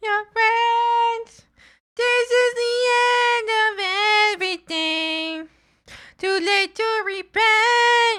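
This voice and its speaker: Shouting in a put-on character voice, a woman squeaks at an extremely high pitch, drawing words out at a very slow pace in a dramatic tone. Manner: screaming, dramatic.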